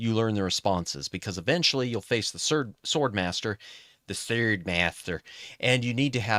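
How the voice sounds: a natural reading voice, nothing more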